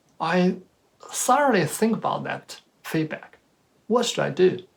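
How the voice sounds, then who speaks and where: The speaker has a Chinese accent. Delivery is at a very slow pace. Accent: Chinese accent, noticeable. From China. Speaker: speaker at professional talk. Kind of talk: presentation talk. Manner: halting, with self-corrections.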